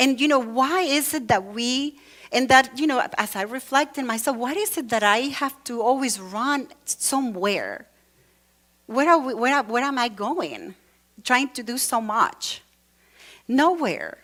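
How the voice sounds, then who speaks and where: A woman with a Latin American accent speaks fairly slowly in a high voice. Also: ordinary pitch variation. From Venezuela. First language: Spanish. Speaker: church speaker. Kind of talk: sermon. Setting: church with congregation. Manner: conversational, with many fillers.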